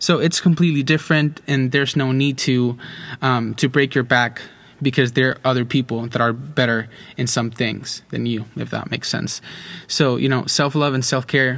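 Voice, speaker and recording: Speaking in a flat monotone, a man keeps a medium pitch and a moderate pace. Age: 20s. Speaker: podcast host. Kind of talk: solo monologue podcast. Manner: halting, many fillers and repetitions.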